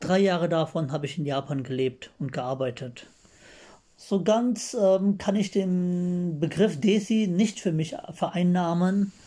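Lively intonation carries a man's high-pitched voice, which has a dark, mellow tone. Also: very clean recording, silent background. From Germany, rural village. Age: 30s. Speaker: listener sending a voice message. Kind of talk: recorded voice message. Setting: self-recorded audio message.

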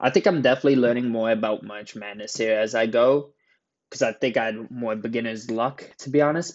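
With a medium pitch and fairly even intonation, this man has a plain, everyday voice. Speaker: sports card collector podcaster. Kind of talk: casual solo podcast about March Madness brackets. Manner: casual, chatty, many fillers.

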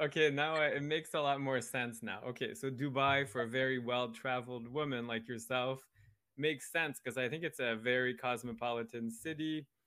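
A man with a medium pitch talks at a fairly quick pace in an unremarkable speaking voice with ordinary pitch variation. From Canada. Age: 40s. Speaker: podcast host. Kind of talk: casual interview chat.

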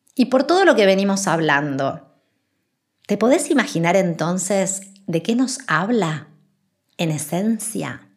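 Her voice is somewhat breathy, and the woman's pitch swings very wide. She talks at a very slow pace, with long, frequent pauses. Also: medium pitch for a woman. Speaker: spiritual podcast host. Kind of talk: spiritual monologue.

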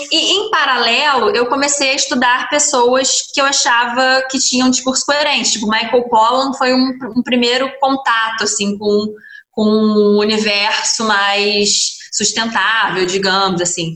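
Against noticeable background noise, the speaker goes at a fairly slow pace with ordinary pitch variation and very even loudness. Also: woman, high pitch for a woman. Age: 20s. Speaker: restaurant owner. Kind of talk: interview. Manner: animated.

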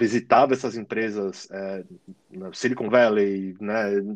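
A man is speaking. His pace is fairly slow. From São Paulo, Brazil. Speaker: digital marketing manager. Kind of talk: casual interview. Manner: halting, many fillers.

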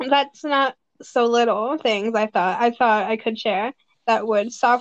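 Plain reading aloud against a quiet background.

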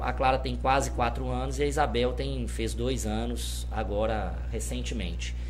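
Very deep and low, the man's voice moves at a fairly slow pace. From Minas Gerais, Brazil (Governador Valadares). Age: 30s. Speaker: university law professor and city councillor. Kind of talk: casual interview.

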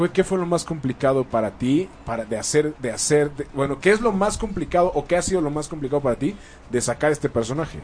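This man speaks fairly quickly in a fairly high pitch, his intonation lively. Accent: Mexican. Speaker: radio host. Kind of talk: casual chat.

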